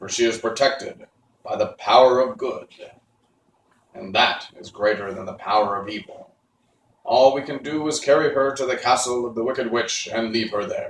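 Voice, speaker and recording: A man puts on a character voice at a medium pitch. He speaks at a moderate pace. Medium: read story. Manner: formal, solemn.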